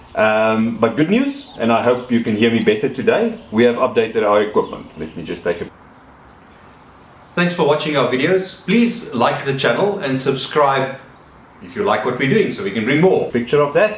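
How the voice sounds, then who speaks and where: A man's medium-pitched voice at a moderate pace, with very wide pitch swings, audible room echo and noticeable background noise. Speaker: DIY vlogger fixing a camper van. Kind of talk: casual tutorial vlog. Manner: hesitant, many ums.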